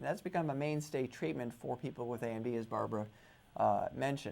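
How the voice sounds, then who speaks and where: A man speaks fairly quickly at medium pitch with ordinary pitch variation. His is a plain, everyday voice. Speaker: retina surgeon. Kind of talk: interview answer.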